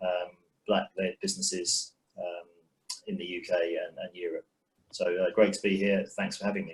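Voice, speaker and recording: Talking at a moderate pace with a London accent, a man leaves long, frequent pauses and makes big swings in loudness. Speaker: investor. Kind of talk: panel introduction.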